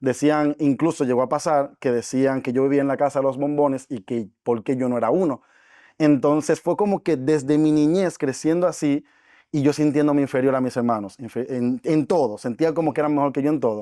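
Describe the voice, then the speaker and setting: The speaker's dark, mellow tone moves at a fairly quick pace in a very clean recording with a silent background. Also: man, fairly high pitch for a man, ordinary pitch variation. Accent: Dominican. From Dominican Republic. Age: 20s. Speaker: network marketing entrepreneur. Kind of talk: podcast interview.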